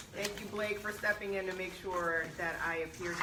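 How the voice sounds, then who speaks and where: A woman talks at a very fast pace with fairly low pitch and fairly even intonation. Audible room echo and noticeable background noise surround her. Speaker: university vice president. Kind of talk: speech at alumni meeting. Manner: loud.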